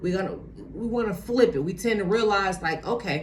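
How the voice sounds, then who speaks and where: A woman talks at a moderate pace and medium pitch with ordinary pitch variation. Room echo is audible. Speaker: motivational vlogger. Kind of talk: motivational talk to camera. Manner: casual, many fillers.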